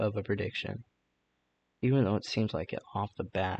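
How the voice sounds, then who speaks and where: Quiet and somewhat breathy, a man talks at a moderate pace with a fairly low pitch and ordinary pitch variation, in a dry, close sound with no echo. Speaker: gaming video creator. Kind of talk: casual commentary. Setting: bedroom at night. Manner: hesitant.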